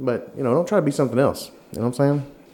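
This man's pitch sits fairly high. He speaks with a Southern US accent. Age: 40s. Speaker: podcast host. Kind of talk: casual chat.

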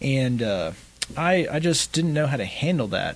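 This man speaks with a West Texas accent. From West Texas (Midland). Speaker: homeless outreach organization founder. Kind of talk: interview.

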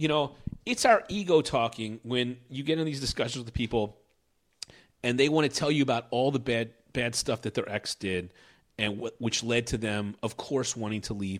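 With an American accent, a man with an unremarkable speaking voice talks at a moderate pace and medium pitch, using ordinary pitch variation on a very clean recording with a silent background. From Philadelphia, US. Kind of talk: casual chat. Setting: at home.

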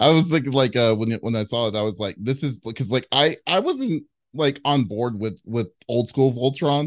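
A man speaks in a plain, everyday voice at medium pitch and a moderate pace, with ordinary pitch variation over a quiet background. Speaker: interviewer. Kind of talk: casual interview. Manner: filler-heavy, stumbling.

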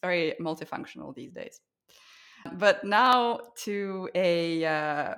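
A plain, everyday voice from a woman, fairly low in pitch, with lively intonation. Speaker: podcast host. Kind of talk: interview conversation.

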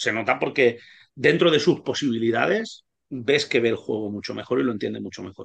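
A man talks at a fairly quick pace and a medium pitch. His intonation is lively, with vocal fry. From Spain, Alicante province. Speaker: basketball coach and language teacher. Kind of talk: casual interview.

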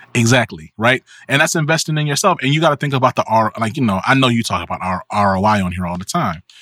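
A man talking at a very fast clip with hardly any pauses, bright and sharp in tone, his pitch swinging very widely, on a very clean recording with a silent background and a dry, close sound with no echo. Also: medium pitch for a man. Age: 30s. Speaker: media company founder and business consultant. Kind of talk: casual chat.

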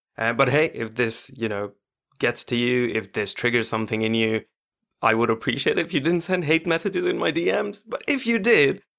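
With a very clean recording and silent background, an ordinary speaking voice goes at a fairly quick pace. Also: man. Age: 20s. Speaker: podcast host. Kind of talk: casual chat; scripted intro.

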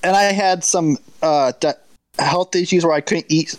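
With a normal speaking voice, a man talks at a moderate pace and with fairly even intonation, in a dry, close sound with no echo. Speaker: patron chat participant. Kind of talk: casual group chat. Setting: live video chat.

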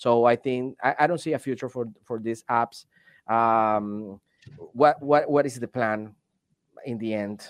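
Speaking at a fairly slow pace with long, frequent pauses, a man with a Venezuelan accent keeps a medium pitch and fairly even intonation. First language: Spanish. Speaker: delivery driver and video content creator. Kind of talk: casual chat.

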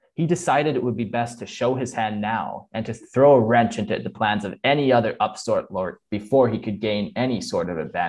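A passage read aloud in a natural voice

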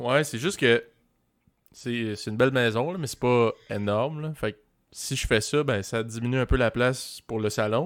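A man with an unremarkable speaking voice at medium pitch, ordinary pitch variation and a moderate pace. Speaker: podcast host. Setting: video call.

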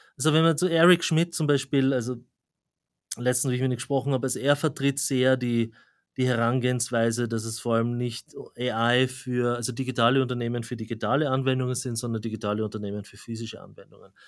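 On a very clean recording with a silent background, a man with an Austrian accent talks very fast at a medium pitch with fairly even intonation. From Austria, Graz. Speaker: AI researcher and professor. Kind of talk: interview.

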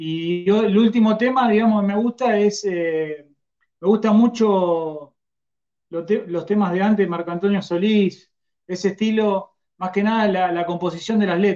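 A man talks at a fairly slow pace with a high pitch. His tone is dark and mellow, and his intonation fairly even. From Argentina. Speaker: musician. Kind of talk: interview.

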